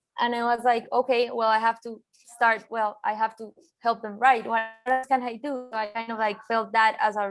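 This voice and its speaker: With a Colombian accent, the speaker talks at a moderate pace in a flat monotone while music plays in the background. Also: woman. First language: Spanish. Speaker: designer and art director. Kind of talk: interview. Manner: halting, many fillers.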